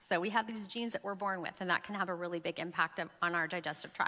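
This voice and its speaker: A bright, sharp tone delivers the words at a very fast pace. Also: woman. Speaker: health speaker. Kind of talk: talk to women's group.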